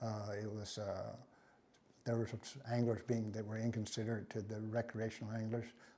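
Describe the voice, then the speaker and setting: With an American accent, a man speaks at medium pitch and a moderate pace in a dark, mellow tone, his intonation monotone and flat, broken by long, frequent pauses. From Texas, LaPorte. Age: 70s. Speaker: professional bass angler. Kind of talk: casual reminiscing monologue. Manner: halting, many restarts and fillers; laid back.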